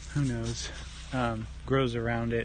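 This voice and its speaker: Audible room echo, noticeable background noise, and a man's fairly slow pace. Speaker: home gardener. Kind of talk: casual garden tour. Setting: outdoors in garden. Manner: casual, rambling with fillers; quiet, soft-spoken.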